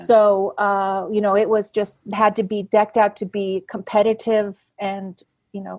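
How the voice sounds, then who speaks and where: In a very clean recording with a silent background and a dry, close sound with no echo, a woman speaks fairly slowly in a medium pitch with monotone, flat intonation and big swings in loudness. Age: 60s. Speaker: classic car rally driver. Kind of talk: podcast interview answer.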